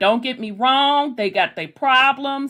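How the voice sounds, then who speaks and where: Here a woman speaks in a high pitch with a Southern US accent and a bright, sharp, animated tone. Her intonation is lively, though her pace is fairly slow. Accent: Southern US, kept. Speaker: online discussion group host. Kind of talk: casual chat.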